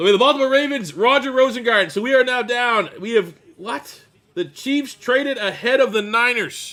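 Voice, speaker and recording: A raised, projected voice, bright and sharp in tone, with ordinary pitch variation. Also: man, extremely high pitch for a man, fairly quick pace. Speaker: NFL draft live streamer. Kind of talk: live reaction stream. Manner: animated.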